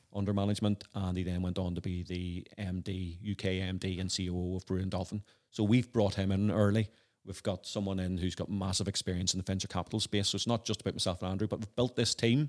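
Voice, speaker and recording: This man talks at a very fast pace with a Northern Irish accent. His pitch is very deep and low, and his intonation is monotone and flat. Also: dry, close sound with no echo, very clean recording, silent background. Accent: Northern Irish (Belfast). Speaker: entrepreneur and former lawyer. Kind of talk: interview. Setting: at home.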